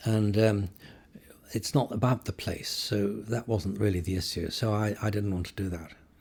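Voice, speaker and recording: A man's somewhat breathy voice, fairly low in pitch, with fairly even intonation at a moderate pace. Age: 70s. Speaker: photojournalist. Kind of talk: interview conversation. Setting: in-person interview. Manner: hesitant, with repetitions.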